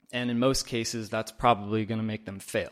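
An ordinary speaking voice from a man, medium in pitch with fairly even intonation, on a very clean recording with a silent background. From US Northwest, Oregon. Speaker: manufacturing audit coordinator. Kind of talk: interview.

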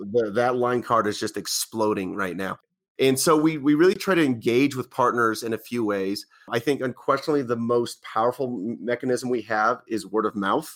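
Recorded very cleanly against a silent background, a man with a General American accent and a normal speaking voice talks at a moderate pace, medium in pitch with ordinary pitch variation. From western Colorado. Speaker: tech company vice president. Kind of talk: interview.

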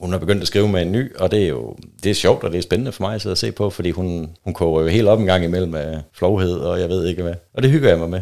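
Talking at a very fast pace with hardly any pauses, a man uses a very deep, low pitch, a dark, mellow tone and ordinary pitch variation. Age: 30s. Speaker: guest in swinger lifestyle. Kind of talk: casual chat.

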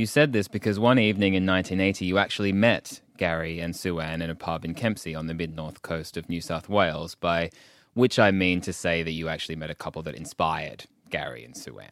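On a very clean recording with a silent background, a man with an Australian accent talks at a fairly quick pace in a very deep, low pitch, with ordinary pitch variation and big swings in loudness. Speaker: podcast host. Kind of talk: interview.

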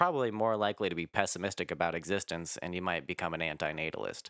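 Recorded very cleanly with a silent background, a man with a very deep, low pitch has a bright, sharp tone in a dry, close sound with no echo. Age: 20s. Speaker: podcast guest. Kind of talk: casual chat.

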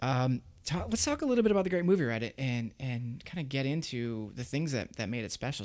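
A man speaks with an American accent at a fairly quick pace. He has an unremarkable speaking voice, medium in pitch, with lively intonation. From Central Florida. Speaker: podcast host. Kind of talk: casual chat.

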